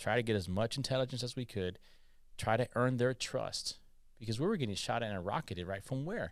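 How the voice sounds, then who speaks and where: In a very clean recording with a silent background, a man speaks at a medium pitch with ordinary pitch variation. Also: fairly quick pace. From California, Mexican immigrant family. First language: Spanish. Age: 40s. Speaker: army veteran. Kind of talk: interview storytelling. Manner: animated, hesitant fillers.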